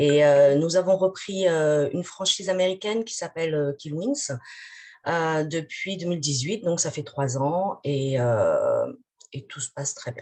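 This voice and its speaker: A woman speaks at a fairly slow pace in a fairly low pitch, her dark, mellow tone carrying lively intonation and big swings in loudness. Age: 40s. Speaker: franchise owner. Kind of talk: webinar self-introduction.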